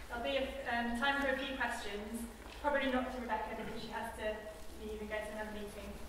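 A woman talks at a fairly high pitch with fairly even intonation. Strong room echo and noticeable background noise fill the recording. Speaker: event chair. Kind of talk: event moderation. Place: hall. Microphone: camera far.

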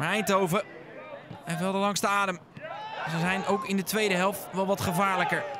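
A raised, projected voice in a flat monotone at a moderate pace, with long, frequent pauses and noticeable background noise. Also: man, high pitch for a man. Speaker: football commentator. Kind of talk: live sports commentary, match highlights voice-over. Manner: matter-of-fact, steady play-by-play, describing action as it happens.

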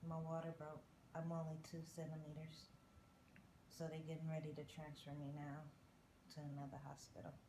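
A woman's very deep, low, flat monotone over noticeable background noise. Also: moderate pace. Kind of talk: casual vlog chat. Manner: weary, flat, slow speech.

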